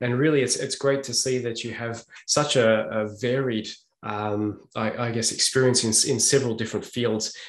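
A man with an Australian accent at a moderate pace, fairly even intonation, a quiet background and audible room echo. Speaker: podcast host. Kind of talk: interview. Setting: video call. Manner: halting. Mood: warm, appreciative. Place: home room. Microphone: earbuds.

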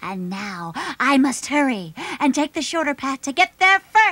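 A cartoonish character voice, female-sounding and high-pitched, with very wide pitch swings at a moderate pace. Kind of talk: children's puppet show. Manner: sly, scheming.

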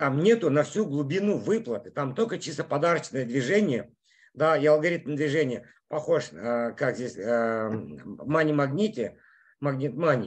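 Using lively intonation, a man with a fairly high pitch speaks at a fairly slow pace. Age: 50s. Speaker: network marketing leader; presenter. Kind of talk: sales pitch. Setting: in a car. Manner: animated. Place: home room. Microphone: video call.

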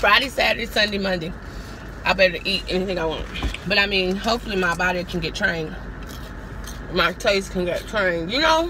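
A woman talks at a fairly quick pace while noise is noticeable behind her. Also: ordinary pitch variation, dry sound with no echo. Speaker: vlogger. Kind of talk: casual vlog chat. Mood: cheerful, animated. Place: car. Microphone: phone near.

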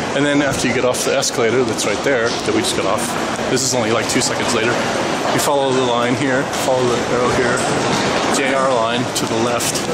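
A man at a fairly quick pace amid loud background noise. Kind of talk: casual vlog chat. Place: station. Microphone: phone near.

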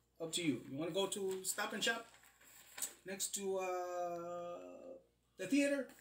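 A man's high-pitched voice moves at a fairly slow pace over light background noise, with audible room echo. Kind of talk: casual unboxing chat. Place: home room. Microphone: phone near.

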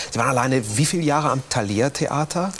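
Light background noise sits under a man speaking at a very fast pace with lively intonation. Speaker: TV talk show host. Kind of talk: interview questions. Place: studio. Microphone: lapel.

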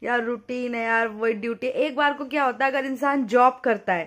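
The recording is very clean and the background silent. A woman talks with a high pitch. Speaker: vlogger. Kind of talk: casual vlog chat. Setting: at home, lying down. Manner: drowsy.

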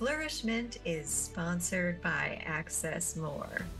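A woman at a very slow pace with lively intonation, over clear music in the background. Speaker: podcast host. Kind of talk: podcast introduction. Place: home room. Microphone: webcam.

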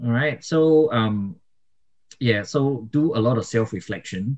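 A man's very slow speech in a dark, mellow tone, with ordinary pitch variation. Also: quiet background. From Singapore. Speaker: YouTuber and migration vlogger; podcast co-host. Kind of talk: casual chat. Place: home room. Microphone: studio mic.

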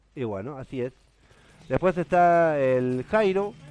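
A man with a Rioplatense accent speaks at a very slow pace, and the sound is dry with no echo. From Argentina. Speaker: gaming streamer. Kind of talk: live stream chat while gaming. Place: home room.

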